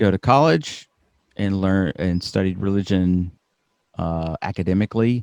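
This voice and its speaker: At a fairly slow pace, a man with a fairly low pitch speaks in an American accent, with a dry, close sound and no echo. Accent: slight Southern US (Alabama), toned down. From US South, Birmingham, Alabama. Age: 40s. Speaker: podcaster, professor. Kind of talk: interview.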